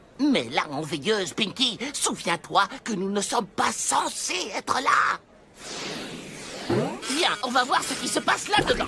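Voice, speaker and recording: A cartoonish character voice at a fairly high pitch moves at a fairly slow pace with long, frequent pauses while faint music plays in the background. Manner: sly, casual.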